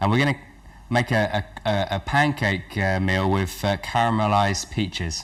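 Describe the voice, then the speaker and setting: A man with an English accent, fairly low in pitch, with ordinary pitch variation and a moderate pace. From England. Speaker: cooking show host. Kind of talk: cooking demonstration. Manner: halting, with many fillers.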